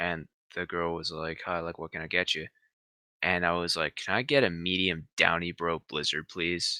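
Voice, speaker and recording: A man with a Canadian accent speaks at a moderate pace in a very deep, low pitch with a bright, sharp tone. The recording is very clean with a silent background and a dry, close sound without echo. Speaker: podcast co-host. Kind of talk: casual chat.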